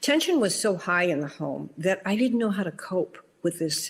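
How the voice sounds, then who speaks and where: In an ordinary speaking voice, a woman talks at a medium pitch and a fairly slow pace. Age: 60s. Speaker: doctor sharing trauma survivor story. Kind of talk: personal testimony.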